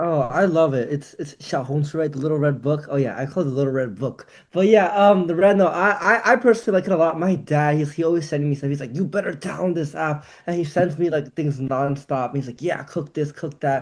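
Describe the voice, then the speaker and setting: An ordinary speaking voice from a man with an American accent, fairly high in pitch, with ordinary pitch variation, a fairly quick pace and hardly any pauses. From United States. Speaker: TikTok creator. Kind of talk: casual chat.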